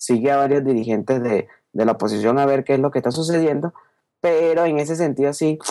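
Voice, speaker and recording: This man has a dark, mellow tone and a fairly high pitch, speaking at a fairly quick pace with ordinary pitch variation. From Venezuela, Caracas. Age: 20s. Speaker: youtuber and podcaster. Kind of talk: interview.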